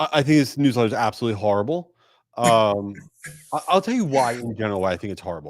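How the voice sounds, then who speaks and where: In a very clean recording with a silent background, a man talks at a very fast pace with very wide pitch swings. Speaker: email marketing agency owner. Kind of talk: conference panel discussion. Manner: animated.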